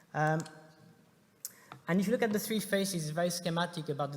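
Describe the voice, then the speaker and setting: With ordinary pitch variation, this man talks in a somewhat breathy way. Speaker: startup investor and conference speaker. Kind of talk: conference presentation. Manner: fast; hesitant, many filler sounds.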